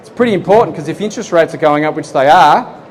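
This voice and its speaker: An Australian accent over noticeable background noise. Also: man. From Australia, Geelong, Victoria. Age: 40s. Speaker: property investment presenter. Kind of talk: seminar presentation. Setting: expo seminar room with live audience. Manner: conversational, engaging audience.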